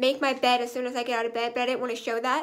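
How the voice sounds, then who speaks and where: Her voice is high in pitch. This woman keeps her intonation fairly even. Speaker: vlogger. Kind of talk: casual vlog chat. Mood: relaxed, chatty. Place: home room. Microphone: phone near.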